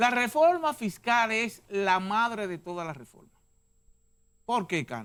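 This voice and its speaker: With an animated tone, a man speaks at a high pitch and a fairly slow pace, showing big swings in loudness, very wide pitch swings and long, frequent pauses, all in a very clean recording with a silent background. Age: 70s. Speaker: sociologist and university professor. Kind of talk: TV interview.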